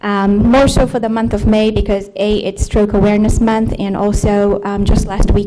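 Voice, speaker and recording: There is noticeable background noise and audible room echo. A woman at medium pitch speaks at a moderate pace in a monotone, flat intonation. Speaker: nurse practitioner. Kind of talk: lecture. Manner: soft-spoken.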